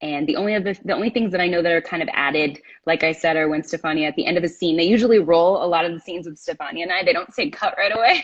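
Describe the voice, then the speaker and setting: This woman talks at a very fast pace in a fairly low pitch, with ordinary pitch variation. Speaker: actress. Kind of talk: casual chat. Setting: Instagram live stream. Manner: stumbling over words.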